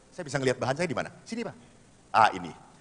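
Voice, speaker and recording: Here a man speaks in an animated tone with very wide pitch swings. His tone is bright and sharp. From Solo area, Central Java. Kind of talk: seminar talk. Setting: hall with audience.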